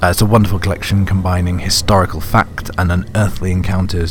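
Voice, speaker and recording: With a British accent and a very deep, low pitch, a man talks at a fairly quick pace over noticeable background noise. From Britain. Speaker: podcast host. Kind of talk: podcast intro and outro, casual and chatty.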